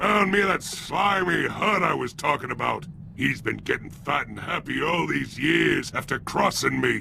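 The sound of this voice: Putting on a character voice, a man speaks at a fairly slow pace in a medium pitch, his bright, sharp tone marked by vocal fry and lively intonation.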